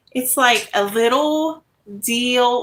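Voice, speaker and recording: Speaking very slowly, a woman uses a high pitch, a bright, sharp tone and lively intonation. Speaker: craft YouTuber. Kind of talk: casual live-stream chat. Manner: speaking louder than usual.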